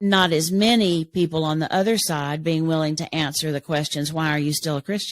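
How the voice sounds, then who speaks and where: On a very clean recording with a silent background and a dry, close sound with no echo, a woman speaks at a very deep, low pitch with fairly even intonation. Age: 70s. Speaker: Enneagram teacher and author. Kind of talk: podcast interview.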